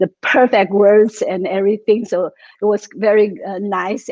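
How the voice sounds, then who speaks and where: At a fairly slow pace, a dark, mellow tone carries a non-native accent in a dry, close sound with no echo. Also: woman. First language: not English. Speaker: tai chi and qigong teacher. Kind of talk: interview. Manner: halting.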